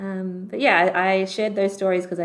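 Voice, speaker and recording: Her accent is Australian. This woman's pitch sits fairly low. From Canberra, Australia. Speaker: doctor. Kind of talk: podcast interview.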